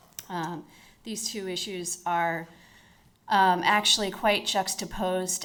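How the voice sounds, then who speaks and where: A woman's fairly low voice in an American accent, with audible room echo. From United States. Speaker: corporate lawyer. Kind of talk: conference talk. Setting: conference stage with audience.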